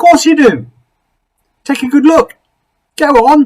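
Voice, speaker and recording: Using an extremely high pitch, a man puts on a character voice. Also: moderate pace. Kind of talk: bedtime story. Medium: read story.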